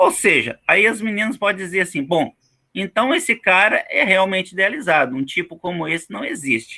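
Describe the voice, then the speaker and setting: A man speaks in a raised, projected voice at a moderate pace, his pitch high and swinging very widely. His tone is bright and sharp. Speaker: teacher. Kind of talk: online lecture. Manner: casual, many fillers.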